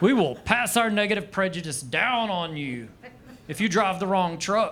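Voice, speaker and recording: A man's high voice in a Southern US accent, with lively intonation at a moderate pace, over noticeable background noise. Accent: Southern American. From Arkansas, USA. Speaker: stand-up comedian. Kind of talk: live stand-up comedy set. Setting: comedy club stage. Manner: dry.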